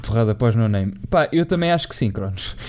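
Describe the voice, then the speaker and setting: A man with a European Portuguese accent speaks at a medium pitch against noticeable background noise. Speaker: football podcast host. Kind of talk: casual chat.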